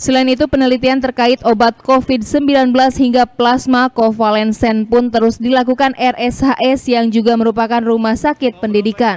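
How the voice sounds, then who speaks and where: A woman speaks at a high pitch with fairly even intonation and very even loudness. Her moderate pace comes through in a dry, close sound with no echo. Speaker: TV news reporter. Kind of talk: news reading.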